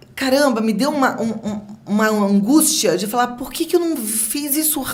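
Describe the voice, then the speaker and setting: Noticeable background noise accompanies a woman's high voice, which shows ordinary pitch variation. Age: 50s. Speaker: TV presenter. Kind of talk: podcast interview answer.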